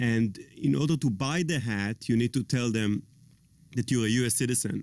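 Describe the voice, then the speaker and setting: Speaking with an Israeli accent, a man talks at a moderate pace with long, frequent pauses, very even loudness, a medium pitch and ordinary pitch variation. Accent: foreign accent, Israeli. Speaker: tech guy, talk show guest. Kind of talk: casual chat.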